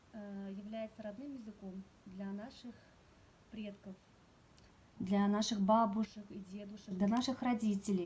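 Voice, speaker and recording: A woman with a Tatar accent speaks at a medium pitch and a fairly slow pace, leaving long, frequent pauses. Her intonation is monotone and flat, while her loudness swings widely. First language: Tatar (speaking Russian). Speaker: Tatar language teacher. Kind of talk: presentation. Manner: hesitant with filler sounds.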